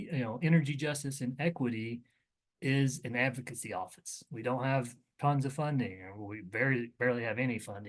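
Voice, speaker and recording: A man talks in a plain, everyday voice at medium pitch. His pace is fairly quick. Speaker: government agency presenter. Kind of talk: webinar briefing presentation.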